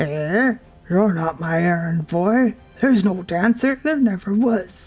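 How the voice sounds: A woman puts on a character voice at medium pitch, with lively intonation. She speaks at a fairly slow pace over faint background music.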